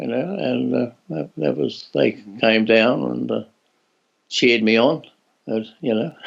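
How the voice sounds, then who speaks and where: The speaker has an Australian accent. The pace is fairly slow. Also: man. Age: 80s+. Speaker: former Olympic athlete. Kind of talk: interview answer. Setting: video call.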